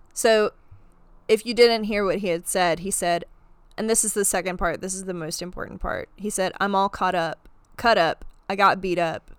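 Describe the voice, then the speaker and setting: A woman with a normal speaking voice, medium pitch, moderate pace and fairly even intonation, on a very clean recording with a silent background. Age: 20s. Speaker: true crime podcast host. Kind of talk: storytelling casual chat.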